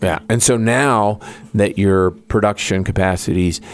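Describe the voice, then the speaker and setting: With noticeable background noise, a man speaks at a very deep, low pitch and ordinary pitch variation. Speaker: radio host. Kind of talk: radio interview. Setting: studio.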